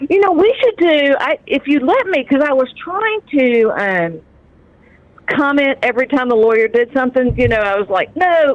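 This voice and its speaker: Against noticeable background noise, a woman with a high pitch talks at a moderate pace with very wide pitch swings and very even loudness. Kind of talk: casual chat.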